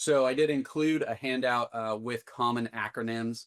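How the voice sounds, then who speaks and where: This man talks in a monotone, flat intonation at a medium pitch. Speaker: psychologist leading a clinical workshop. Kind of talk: online workshop presentation. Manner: halting, many fillers.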